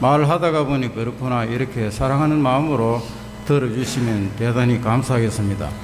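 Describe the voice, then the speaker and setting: Noticeable background noise and audible room echo accompany a man speaking at a moderate pace. His pitch is medium, with ordinary variation. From Gyeongsang region, South Korea (Daegu). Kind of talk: faith testimony talk in church.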